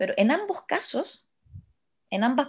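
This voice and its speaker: In a very clean recording with a silent background, a woman speaks somewhat breathily at a fairly slow pace. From Chile, Santiago. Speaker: podcast co-host. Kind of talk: casual chat.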